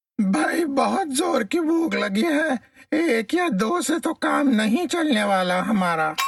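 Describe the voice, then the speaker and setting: This is a put-on character voice pitched high. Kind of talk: children's story comedy. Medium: read story. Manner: blustering.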